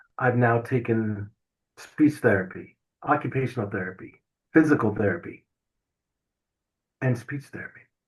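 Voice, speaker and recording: Somewhat breathy and fairly slow, a man speaks at a medium pitch. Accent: American. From US South. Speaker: stroke survivor and author. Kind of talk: testimony. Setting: podcast interview.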